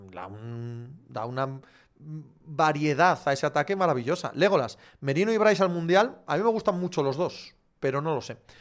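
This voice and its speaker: A fairly high-pitched man at a moderate pace, with lively intonation and big swings in loudness, in a very clean recording with a silent background. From Galicia, Spain. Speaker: sports podcast host. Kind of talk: live chat Q&A reading viewer comments. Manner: casual, animated.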